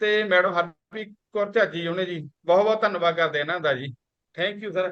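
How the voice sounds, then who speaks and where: A man speaks with ordinary pitch variation. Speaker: program participant. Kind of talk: testimony.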